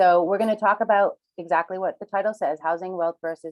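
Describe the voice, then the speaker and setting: This is a woman speaking. She has a Rhode Island accent. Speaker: reverse mortgage specialist. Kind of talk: webinar presentation.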